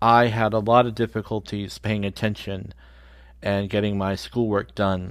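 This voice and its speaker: A man with an ordinary speaking voice, fairly low pitch and a moderate pace. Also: very clean recording, silent background. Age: 50s. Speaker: podcast host. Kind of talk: scripted monologue.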